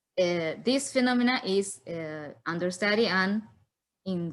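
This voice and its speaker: Very clean recording, silent background, and a woman at medium pitch with a Spanish accent. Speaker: philosopher of science. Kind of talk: conference Q&A. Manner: halting.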